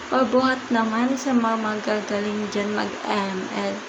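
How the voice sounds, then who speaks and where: A woman speaks at a very slow pace with a fairly high pitch and ordinary pitch variation, in a room with audible echo and noticeable background noise. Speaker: gaming youtuber. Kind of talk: gameplay commentary. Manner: casual, chatty.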